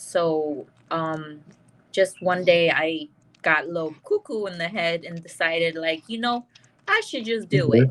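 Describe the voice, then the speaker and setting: At a fairly slow pace, a woman speaks with a fairly low pitch and ordinary pitch variation. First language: Chinese. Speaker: comedian and host. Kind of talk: interview.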